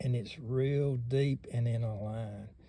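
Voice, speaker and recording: A man speaks in a somewhat breathy voice with a dark, mellow tone and a Southern US accent. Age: 60s. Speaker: knife collector YouTuber. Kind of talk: casual show-and-tell.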